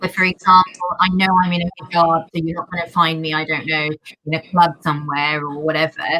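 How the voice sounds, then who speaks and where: A woman talks at a fairly quick pace. Noticeable background noise runs beneath her. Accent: London. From London. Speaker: pediatrician. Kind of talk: panel discussion. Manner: loud.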